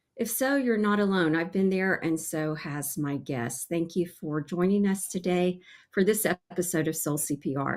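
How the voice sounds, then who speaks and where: A woman with a normal speaking voice talks at a fairly low pitch and a moderate pace. Her pitch varies in an ordinary way, and the recording is very clean with a silent background. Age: 60s. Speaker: podcast host and life coach. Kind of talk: podcast monologue.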